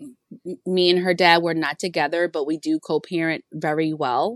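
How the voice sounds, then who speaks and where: A plain, everyday voice with an American accent at a moderate pace, in a dry, close sound with no echo. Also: woman. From Virginia. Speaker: single mom, parenting content creator. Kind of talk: casual chat.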